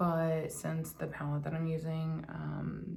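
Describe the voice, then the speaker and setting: A woman is speaking. Her voice is quiet. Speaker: beauty vlogger. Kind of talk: casual chat while doing makeup tutorial. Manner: quiet, hushed.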